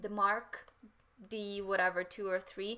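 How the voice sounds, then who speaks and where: A woman speaks at medium pitch with a Ukrainian accent. Her tone is bright and sharp. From Western Ukraine. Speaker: photographer. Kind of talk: live stream Q&A chat.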